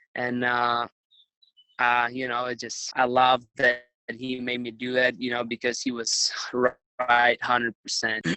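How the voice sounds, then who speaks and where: In a Ukrainian accent, a man speaks fairly slowly with monotone, flat intonation. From Ukraine. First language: Ukrainian or Russian. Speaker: retired wrestler. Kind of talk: interview.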